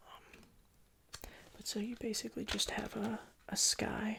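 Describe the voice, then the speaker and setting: A man is whispering. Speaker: ASMR creator doing a CD store employee roleplay. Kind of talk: ASMR roleplay, casual talk to customer. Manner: soft-spoken, whispery.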